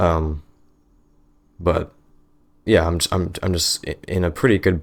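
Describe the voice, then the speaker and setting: The talking goes at a fairly slow pace. The background is silent on this very clean recording. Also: man, very deep, low pitch for a man, fairly even intonation. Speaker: podcast host. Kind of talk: casual chat. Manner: halting.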